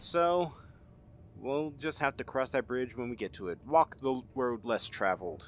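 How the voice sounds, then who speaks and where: A man talks in a plain, everyday voice at a medium pitch. He keeps a fairly slow pace with lively intonation. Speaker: gaming YouTuber. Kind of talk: gameplay commentary. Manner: casual, chatty.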